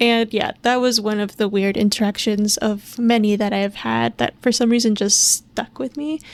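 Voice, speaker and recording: A woman with an American accent speaks quietly at a moderate pace. Her pitch is fairly high, with ordinary pitch variation. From Minnesota, US. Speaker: podcast host. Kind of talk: solo podcast monologue. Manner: casual.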